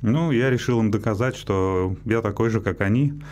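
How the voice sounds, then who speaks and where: A man's fairly low voice with ordinary pitch variation, a moderate pace, and light background noise. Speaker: radio guest. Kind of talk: interview answer. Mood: calm, reflective personal story. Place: studio. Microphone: studio mic.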